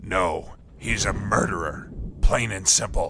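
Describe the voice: In a put-on character voice, a man talks at a slow pace with a low pitch, vocal fry, and a bright, sharp tone. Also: ordinary pitch variation.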